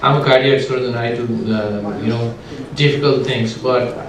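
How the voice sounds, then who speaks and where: Amid audible room echo and noticeable background noise, a man speaks at a fairly slow pace in a monotone, flat intonation. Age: 50s. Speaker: cardiac surgeon introducing a speaker. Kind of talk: speaker introduction. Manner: halting, many fillers.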